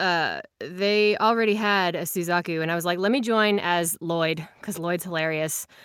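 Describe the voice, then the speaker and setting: A woman with a plain, everyday voice speaks fairly slowly, with hardly any pauses, at a fairly low pitch and with fairly even intonation. The recording is very clean, with a silent background. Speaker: podcast co-host. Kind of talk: casual chat.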